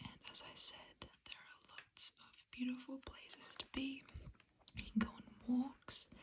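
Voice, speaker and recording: Whispering at a fairly slow pace, broken by long, frequent pauses. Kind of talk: ASMR brochure reading. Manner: whispered.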